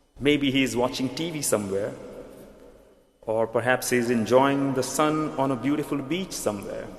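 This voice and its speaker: Audible room echo and noticeable background noise surround a man with a strong Indian accent who speaks at a medium pitch. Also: ordinary pitch variation, moderate pace. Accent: Indian, thick. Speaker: pastor. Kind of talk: sermon. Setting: church.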